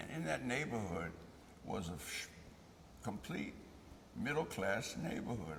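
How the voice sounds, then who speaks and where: Moderate pace from a man in an American accent, plus noticeable background noise and audible room echo. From Baltimore, Maryland. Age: 70s. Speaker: interviewee, church member. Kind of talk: oral history interview. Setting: church.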